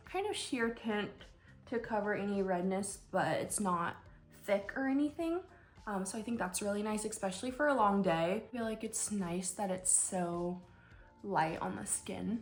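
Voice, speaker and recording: A woman with an American accent speaks at a moderate pace, her somewhat breathy voice at a medium pitch with ordinary pitch variation. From US Pacific Northwest, Washington State. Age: 20s. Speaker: nurse and beauty vlogger. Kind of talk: casual chat during makeup tutorial. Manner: casual, conversational with fillers.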